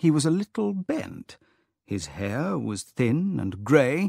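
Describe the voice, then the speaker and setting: On a very clean recording with a silent background, a man with a British accent swings his pitch very widely, the sound dry and close with no echo. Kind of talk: audiobook narration for English learners.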